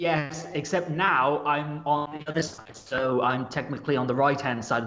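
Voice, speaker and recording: Moderately paced speech from a man at a fairly high pitch, noticeable background noise behind it. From England. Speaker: podcast guest. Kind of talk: casual chat.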